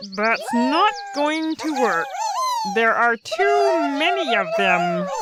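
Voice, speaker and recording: Over loud background noise, a woman uses a put-on character voice at a fairly high pitch and a very slow pace. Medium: audio drama. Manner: dry, knowing.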